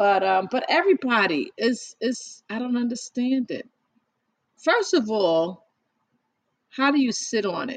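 An animated tone with very wide pitch swings moves at a fairly slow pace, broken by long, frequent pauses. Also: woman, high pitch for a woman. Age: 50s. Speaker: podcast host. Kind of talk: casual chat.

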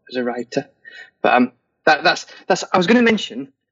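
A man with an English accent talks at a moderate pace, using ordinary pitch variation. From England. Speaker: fantasy novelist. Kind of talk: interview.

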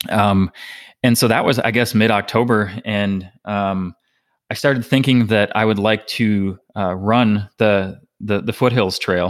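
In an ordinary speaking voice with an American accent, a man talks fairly slowly at a fairly low pitch with fairly even intonation. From Minnesota. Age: 30s. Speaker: ultrarunner. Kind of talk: interview. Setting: remote call.

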